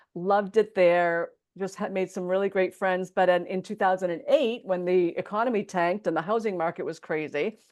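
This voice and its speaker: Against a quiet background, a woman talks in a normal speaking voice at a fairly quick pace, her pitch medium and her intonation fairly even. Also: hardly any pauses. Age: 60s. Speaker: entrepreneur and podcast host being interviewed. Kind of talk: interview.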